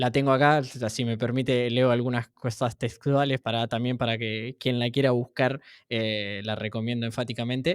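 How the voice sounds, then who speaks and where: A man speaks at a moderate pace with fairly even intonation in an ordinary speaking voice. The recording is very clean, with a silent background and a dry, close sound with no echo. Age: 20s. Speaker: interviewer. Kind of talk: political interview.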